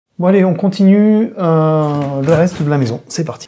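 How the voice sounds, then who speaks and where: Her voice is very deep and low, with a dark, mellow tone. This woman keeps a moderate pace and ordinary pitch variation. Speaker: urban explorer and video maker. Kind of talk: casual walkthrough narration. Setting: indoors in an abandoned house. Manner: hesitant, many fillers.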